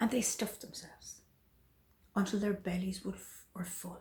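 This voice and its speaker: A woman's somewhat breathy voice, dark and mellow in tone, at a fairly slow pace. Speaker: storyteller. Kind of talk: folk tale storytelling.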